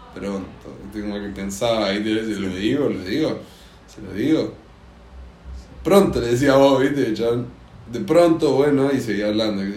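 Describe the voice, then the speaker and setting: With a Rioplatense accent and a medium pitch, a man speaks with lively intonation, big swings in loudness, and long, frequent pauses, and room echo is audible. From Argentina. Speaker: podcast host. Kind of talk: casual chat.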